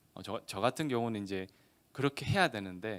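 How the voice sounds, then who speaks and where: A man with a slight Gyeongsang accent speaks with ordinary pitch variation. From Gyeongsang region, South Korea. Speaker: lawyer. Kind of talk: seminar lecture. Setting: seminar hall with audience, streamed online. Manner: conversational.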